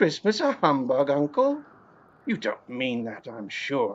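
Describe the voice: A man uses a put-on character voice at a medium pitch. He speaks at a slow pace with very wide pitch swings.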